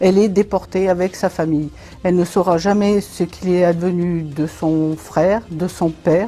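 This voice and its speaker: Fairly low in pitch, a woman speaks slowly in a dark, mellow tone, with very even loudness and monotone, flat intonation. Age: 60s. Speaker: school librarian teacher. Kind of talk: book review interview.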